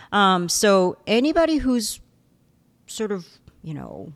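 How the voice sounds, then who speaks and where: A woman speaks with a Korean accent. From South Korea. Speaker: professor. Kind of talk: interview.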